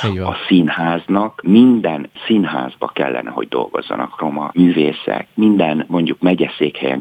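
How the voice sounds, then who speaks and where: A man speaks with lively intonation while noticeable background noise carries on behind him. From rural Hungary. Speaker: actor and theatre director. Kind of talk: radio interview.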